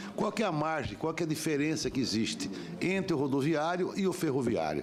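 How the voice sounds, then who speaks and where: A man's fairly high voice at a fairly quick pace, lively in intonation and very even in loudness, with audible room echo and music in the background. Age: 60s. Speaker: senator. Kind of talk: public hearing questioning. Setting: senate committee hearing.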